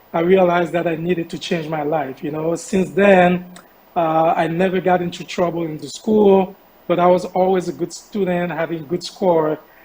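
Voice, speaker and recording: Through noticeable background noise, a man speaks in a high pitch with a monotone, flat intonation. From Haiti, Port-au-Prince. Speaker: charity founder. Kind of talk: interview. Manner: hesitant.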